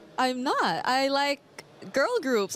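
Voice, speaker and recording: A woman's high-pitched voice at a very slow pace, with noticeable background noise. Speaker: esports desk talent. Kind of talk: casual interview. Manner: quiet.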